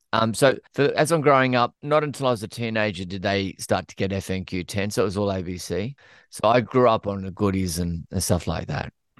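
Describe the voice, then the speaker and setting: A man with an Australian accent, fairly low pitch, lively intonation and a fairly quick pace with hardly any pauses, in a dry, close sound with no echo over a quiet background. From Australia (Queensland). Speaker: TV writer, producer and actor. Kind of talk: casual podcast interview.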